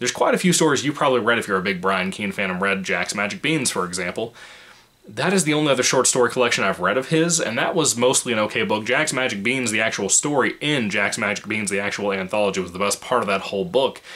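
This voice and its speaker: A man's very fast speech with lively intonation over noticeable background noise. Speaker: book reviewer. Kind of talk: book review monologue. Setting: home apartment. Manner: keeping voice low, quiet.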